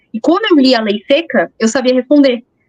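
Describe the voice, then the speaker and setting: Moderate-paced speech with a dry, close sound and no echo. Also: woman. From São Paulo, Brazil. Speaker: police chief. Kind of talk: interview.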